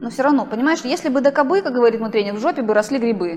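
This woman's voice is fairly high. Her intonation is lively. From Russian Far East (Primorsky Krai). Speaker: professional middle and long distance runner. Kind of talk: casual interview.

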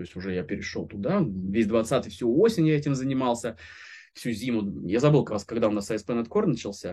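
A man talks at a fairly quick pace and a medium pitch. His intonation is lively, and the background is quiet. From Moscow region, Russia. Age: 30s. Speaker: software developer. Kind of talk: interview. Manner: halting.

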